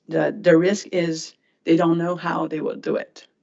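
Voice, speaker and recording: A woman speaks at a fairly slow pace with a Quebec accent. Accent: French-Canadian accent in English. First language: French. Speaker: regulatory board member. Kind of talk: questioning at a hearing. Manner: halting.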